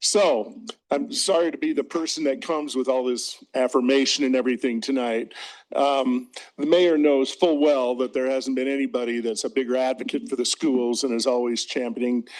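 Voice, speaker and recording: At a moderate pace, a man talks with fairly high pitch and ordinary pitch variation. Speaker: retired orchestra teacher. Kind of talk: public comment at school board meeting. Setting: board meeting with PA mic. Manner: loud; animated.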